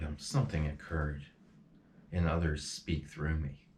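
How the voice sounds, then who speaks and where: With audible room echo, a man speaks in a very deep, low pitch with monotone, flat intonation. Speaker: spiritual channeler. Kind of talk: emotional personal monologue. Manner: halting.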